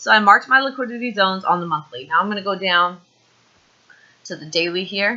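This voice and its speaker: At a very fast pace yet with long, frequent pauses, a woman talks in an animated tone with lively intonation and medium pitch. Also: big swings in loudness. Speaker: forex trading educator. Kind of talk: screen-share tutorial. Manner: casual, animated.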